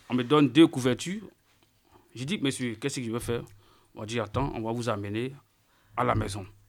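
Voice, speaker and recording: A man speaks at a fairly quick pace and medium pitch, with ordinary pitch variation. Long, frequent pauses break up his speech in a very clean recording with a silent background. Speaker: unaccompanied minor migrant. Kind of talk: testimony.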